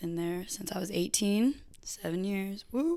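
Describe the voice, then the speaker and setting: The woman's voice sits at a medium pitch, with an American accent. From California. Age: 20s. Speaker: maintenance worker, host's best friend. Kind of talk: casual chat. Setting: her own apartment.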